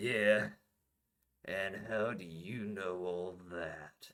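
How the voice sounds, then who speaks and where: Using a put-on character voice, a man speaks very slowly in a raspy, very deep, low pitch with fairly even intonation. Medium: read story. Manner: gruff.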